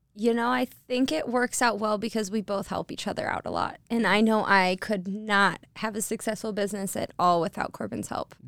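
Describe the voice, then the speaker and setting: A woman at medium pitch and moderate pace with a slight Michigan accent, ordinary pitch variation, and a dry, close sound with no echo. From Detroit, Michigan. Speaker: wine tour owner. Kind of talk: casual chat. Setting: studio.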